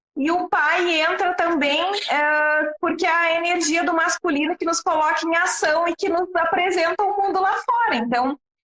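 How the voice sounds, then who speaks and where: A woman speaks with a strong Rio Grande do Sul accent at a moderate pace, her pitch extremely high and her tone bright and sharp, with very even loudness, ordinary pitch variation and hardly any pauses. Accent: southern Brazilian (gaúcho), strong. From Rio Grande do Sul, Brazil. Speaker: systemic therapist. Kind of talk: live-stream interview. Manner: hesitant, many fillers.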